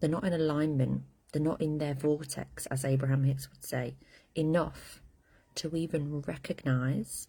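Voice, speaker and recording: Soft-spoken and somewhat breathy, this woman has a very deep, low pitch, a dark, mellow tone and monotone, flat intonation. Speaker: intuitive coach. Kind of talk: casual live stream monologue. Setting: outdoors. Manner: quiet, talking softly; halting, searching for words.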